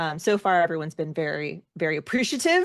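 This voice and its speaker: An unremarkable speaking voice comes at a moderate pace over a quiet background, dry and close with no echo. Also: woman. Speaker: singer, actor, editor. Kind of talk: interview answer.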